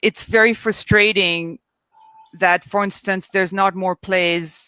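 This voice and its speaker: At a fairly slow pace, a woman with a French accent speaks in a medium pitch with flat, monotone intonation, the sound dry and close with no echo. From France. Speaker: theater critic. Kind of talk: panel discussion.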